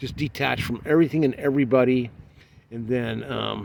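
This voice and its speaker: A man's moderate-paced, medium-pitched delivery with an American accent and fairly even intonation. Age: 50s. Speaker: travel vlogger. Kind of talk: casual vlog monologue. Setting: outdoors in a side by side vehicle. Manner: halting, many fillers.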